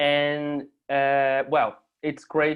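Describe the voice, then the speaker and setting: Speaking in a Portuguese accent, this is a man. His pitch is fairly high. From Brazil. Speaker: artist and university lecturer. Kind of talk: conference presentation. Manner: halting.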